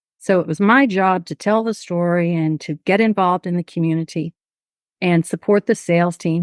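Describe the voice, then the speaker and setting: In an American accent, a woman with a fairly low pitch speaks at a moderate pace with fairly even intonation, the sound dry and close with no echo over a quiet background. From Texas, southeast Houston. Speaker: nonprofit board chair. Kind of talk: interview.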